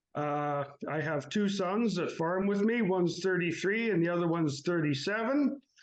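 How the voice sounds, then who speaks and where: In a Canadian Prairie accent, a man speaks at a moderate pace and a high pitch with ordinary pitch variation and very even loudness against a quiet background. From Canadian Prairies, Saskatchewan. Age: 60s. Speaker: farmer. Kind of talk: interview about personal grief. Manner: halting, many fillers.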